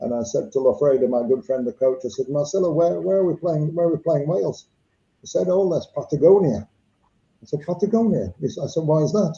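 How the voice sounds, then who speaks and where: There is a somewhat breathy quality to this man's voice. He uses lively intonation. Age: 70s. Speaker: former rugby player and coach. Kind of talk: casual chat. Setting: live video stream.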